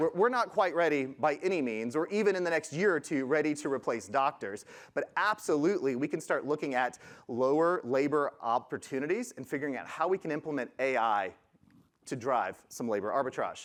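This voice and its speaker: Against a quiet background, a man talks at a fairly quick pace with a fairly high pitch and lively intonation. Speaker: conference speaker, product management head. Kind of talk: conference presentation. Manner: fast.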